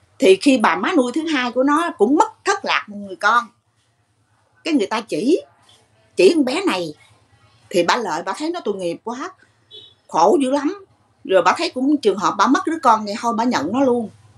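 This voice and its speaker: A woman's high-pitched voice at a moderate pace, broken by long, frequent pauses, with music in the background. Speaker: caller. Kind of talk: interview answer. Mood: emotional, pitying. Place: shop. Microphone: video call.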